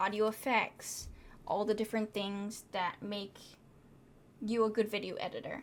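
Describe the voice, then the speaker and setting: A fairly slow, medium-pitched woman's voice. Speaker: film student. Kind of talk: reflective class vlog. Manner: stutter.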